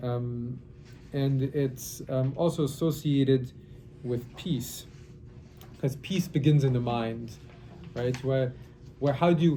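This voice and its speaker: Audible room echo surrounds a somewhat breathy voice with fairly even intonation. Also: man. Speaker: rabbi teaching a Kabbalah class. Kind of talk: lecture. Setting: classroom workshop, recorded for online. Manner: halting.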